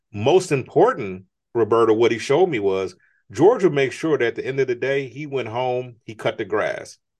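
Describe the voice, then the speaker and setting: This man has an ordinary speaking voice, medium pitch and an American accent. His intonation is lively, and the background is quiet. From United States. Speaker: entrepreneur and author. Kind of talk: interview.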